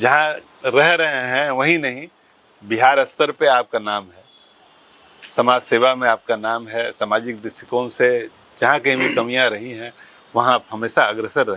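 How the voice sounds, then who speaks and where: A man with a medium-pitched voice speaks with fairly even intonation and big swings in loudness over noticeable background noise. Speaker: podcast host. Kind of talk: podcast interview questions.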